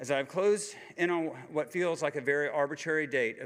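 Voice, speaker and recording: A man talks at a fairly quick pace. He speaks with a Southern US accent. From US South, Georgia. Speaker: cancer survivor speaker. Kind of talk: personal testimony speech. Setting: conference stage with audience. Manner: halting.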